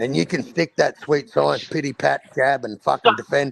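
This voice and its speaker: Speaking in an Australian accent at a moderate pace, a man with a fairly high pitch, very wide pitch swings, vocal fry and an animated tone comes through a dry, close sound with no echo. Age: 40s. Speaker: boxing streamer. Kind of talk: casual chat.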